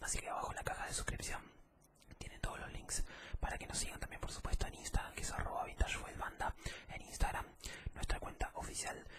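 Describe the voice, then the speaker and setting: A man is whispering at a very fast pace. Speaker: ASMR creator. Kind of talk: casual ASMR talk to viewers. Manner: soft-spoken ASMR voice, close to mic. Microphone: studio mic.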